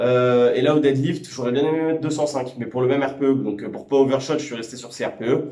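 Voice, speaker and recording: A man at a moderate pace amid audible room echo. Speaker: powerlifting vlogger and coach. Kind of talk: casual vlog talk to camera. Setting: gym after training session. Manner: halting, many hesitations.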